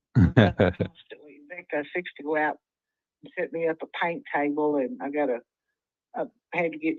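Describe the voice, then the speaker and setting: With a West Texas accent, a woman speaks at a moderate pace in a fairly low pitch. Her loudness swings widely, and she leaves long, frequent pauses. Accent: West Texas Southern. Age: 70s. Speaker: home seller. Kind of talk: phone call conversation. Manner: halting.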